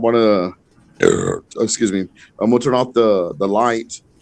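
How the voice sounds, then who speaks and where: Fairly low in pitch with ordinary pitch variation, a man speaks with an American accent in an unremarkable speaking voice. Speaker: podcast guest. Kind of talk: casual chat.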